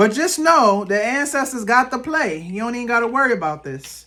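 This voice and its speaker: On a very clean recording with a silent background, a loud, animated voice with a bright, sharp tone moves at a fairly quick pace through very wide pitch swings. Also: woman. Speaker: tarot card reader and ancestral guidance practitioner. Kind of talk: pick-a-card tarot reading to camera. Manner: casual, animated, conversational.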